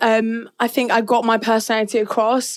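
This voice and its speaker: A woman speaks in a British accent at a fairly high pitch. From Northern Cyprus. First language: Turkish. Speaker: reality TV contestant. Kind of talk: casual interview chat. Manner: loud.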